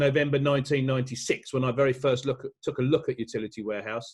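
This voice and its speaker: Somewhat breathy and very fast, a man talks at a fairly high pitch with a British accent. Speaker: business speaker. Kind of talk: motivational talk. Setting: video call. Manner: hesitant, many fillers.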